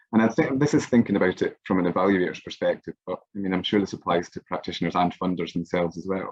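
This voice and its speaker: A man talks at a very fast pace with a very deep, low pitch and ordinary pitch variation, the sound dry and close with no echo. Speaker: music evaluation researcher. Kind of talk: online workshop presentation. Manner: hesitant, many fillers.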